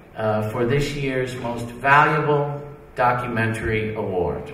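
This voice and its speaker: With lively intonation and a medium pitch, a man speaks at a fairly slow pace over noticeable background noise. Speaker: film distributor. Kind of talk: award ceremony speech. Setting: live event.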